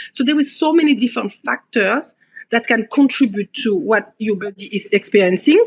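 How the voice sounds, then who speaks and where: With a French accent, a woman talks in a high pitch and lively intonation. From French Caribbean (Guadeloupe), raised in Paris. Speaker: osteopath. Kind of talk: podcast interview. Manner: hesitant, many fillers; animated.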